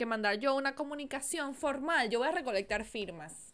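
Bright and sharp in tone, a woman speaks fairly quickly at a high pitch, animated and with lively intonation. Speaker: podcast co-host. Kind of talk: casual chat. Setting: video recording.

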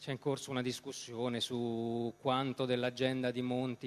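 This man's voice sits at a medium pitch. His intonation stays monotone and flat. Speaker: journalist moderator. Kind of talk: moderated political debate. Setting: stage with audience. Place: stage. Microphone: handheld.

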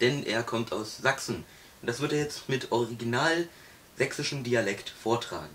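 A man speaks at a very slow pace over light background noise. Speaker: host introducing his father. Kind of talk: casual talk to camera. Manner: upbeat. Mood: cheerful festive. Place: home room. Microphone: camera far.

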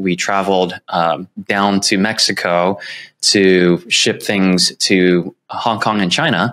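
A man with an American accent talks at a fairly low pitch and a very slow pace. His intonation is fairly even and his loudness very even. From San Francisco, California. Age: 30s. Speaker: real estate agent. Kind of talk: interview. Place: home room. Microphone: earbuds.

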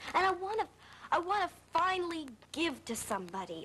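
A moderately paced female voice against light background noise. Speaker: soap opera actor playing a daughter. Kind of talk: acted drama dialogue. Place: studio. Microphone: old recording.

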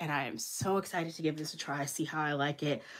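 The woman's voice sits at a very deep, low pitch. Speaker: planner content creator. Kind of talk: casual haul narration. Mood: enthusiastic, warm.

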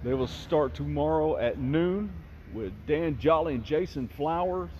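A man speaks at a fairly slow pace. His fairly high voice carries lively intonation.

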